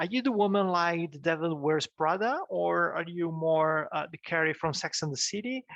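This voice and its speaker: Speaking with a non-native accent, a man uses a high pitch with ordinary variation and hardly any pauses, in a dry, close sound with no echo. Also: moderate pace, quiet background. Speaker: business coach / YouTuber. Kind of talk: tutorial. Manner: halting, many fillers and restarts; casual, animated.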